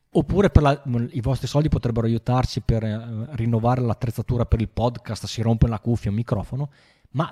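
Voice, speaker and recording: A man of medium pitch has a dark, mellow, somewhat breathy tone, heard dry and close with no echo. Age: 40s. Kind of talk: casual chat. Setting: live stream.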